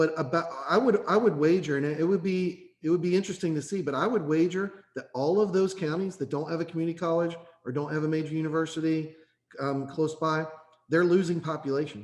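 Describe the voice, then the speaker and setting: Speaking very fast with fairly even intonation, a man with an Eastern Kentucky accent has a fairly high pitch. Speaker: workforce board member. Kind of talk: committee meeting discussion. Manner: repetitive, stammering restarts.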